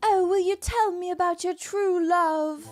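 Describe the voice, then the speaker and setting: A female-sounding put-on character voice in a British accent speaks at a moderate pace and an extremely high pitch, with faint music in the background. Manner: sweet, cute.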